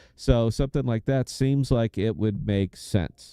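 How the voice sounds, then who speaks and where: A man's fairly low, dark, mellow voice with an American accent and ordinary pitch variation, recorded dry and close with no echo against a quiet background. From United States. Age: 50s. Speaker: game streamer and podcaster. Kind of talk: live gameplay stream commentary. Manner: casual, conversational.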